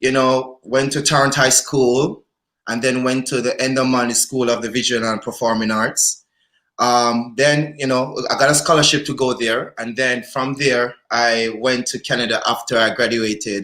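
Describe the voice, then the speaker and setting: Over a very clean recording with a silent background, a man speaks at a moderate pace in a medium pitch, his tone bright and sharp and his intonation flat and monotone. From Jamaica (Kingston). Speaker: dancer and dance lecturer. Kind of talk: live-stream conversation. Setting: live stream. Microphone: too quiet.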